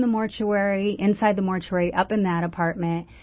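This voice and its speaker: In a plain, everyday voice, a woman with an American accent talks at a fairly quick pace with fairly even intonation. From US West Coast, San Francisco Bay Area. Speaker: author and anti-trafficking advocate. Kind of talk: personal testimony in a radio interview. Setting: radio studio.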